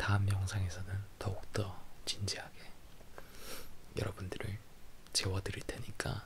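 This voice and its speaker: A man's somewhat breathy voice at a fairly slow pace, with monotone, flat intonation and long, frequent pauses. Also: fairly low pitch for a man. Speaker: ASMR creator. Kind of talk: ASMR sleep book reading. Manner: playful, laughing.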